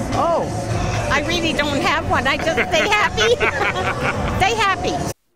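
A woman's voice at a fairly slow pace, dry with no echo, over loud background noise. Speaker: player's grandmother. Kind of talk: interview answer. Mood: joyful, delighted. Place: stadium. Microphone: handheld.

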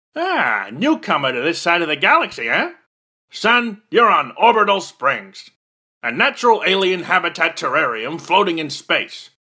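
A man uses a cartoonish character voice, high-pitched, raised and projected. His pitch swings very widely at a moderate pace. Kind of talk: military drill-sergeant parody. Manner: gruff, barking, pompous.

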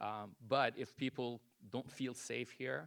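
Vocal fry colors this man's medium-pitched voice, which shows ordinary pitch variation. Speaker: resident giving public comment. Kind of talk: public comment at council meeting. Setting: city council meeting, public podium. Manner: loud; hesitant, many fillers.

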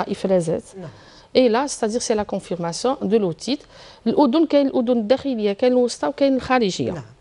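A woman's fairly high, dark and mellow voice with an Algerian accent, very fast pace, lively intonation and big swings in loudness. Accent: Algerian Arabic with French code-switching. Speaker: pediatric surgeon; guest. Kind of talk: TV health interview. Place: studio. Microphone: lapel.

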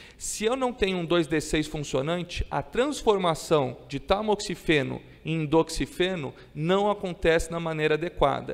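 This man's pitch is high, with ordinary variation. He speaks at a fairly slow pace. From Brazil. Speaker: psychiatrist lecturer. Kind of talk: conference lecture. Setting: stage with audience. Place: hall. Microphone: podium.

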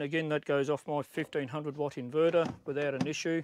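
Recorded with a dry sound and no echo, a man speaks over light background noise. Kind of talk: casual walkthrough tour. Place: open country. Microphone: phone near.

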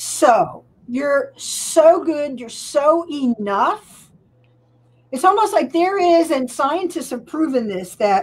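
A woman talks at a very slow pace with a high pitch. Her pitch swings very widely. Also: big swings in loudness. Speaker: coach and performer; coach. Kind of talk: interview. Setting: live video stream. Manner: energetic. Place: home room. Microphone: studio mic.

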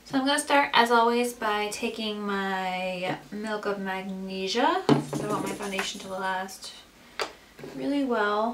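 A woman speaks at a fairly slow pace with big swings in loudness. Noticeable background noise runs underneath. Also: ordinary pitch variation. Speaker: beauty vlogger. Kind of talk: makeup tutorial chat. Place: home room. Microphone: camera far.

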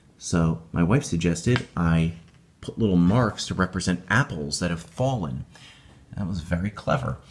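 Speaking with an American accent, a man uses a very deep, low pitch, vocal fry and lively intonation. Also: moderate pace. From upstate New York. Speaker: YouTuber and tabletop game master. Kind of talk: tutorial. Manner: casual.

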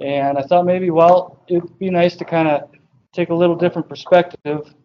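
A man talks at a moderate speed, his intonation fairly even, with light noise behind him. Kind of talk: lecture. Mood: relaxed, joking. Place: classroom.

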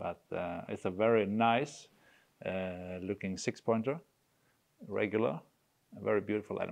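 With a Swedish accent and a fairly low pitch, a man talks at a moderate pace with ordinary pitch variation and long, frequent pauses against a quiet background. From Sweden. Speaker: gamekeeper; guest. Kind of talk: casual chat. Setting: hunting cabin. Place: home room.

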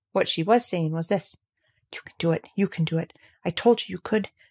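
A woman talks at a fairly quick pace in a somewhat breathy, fairly low voice with ordinary pitch variation. The sound is dry and close, with no echo. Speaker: audiobook narrator. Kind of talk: literary audiobook reading, with dramatic character voices for the dialogue.

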